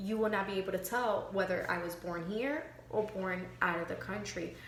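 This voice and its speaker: With a slight Miami accent, a woman speaks at a moderate pace and a medium pitch amid audible room echo and noticeable background noise. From Miami, Florida. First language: Spanish. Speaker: student. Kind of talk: class reflection monologue. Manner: halting, many fillers.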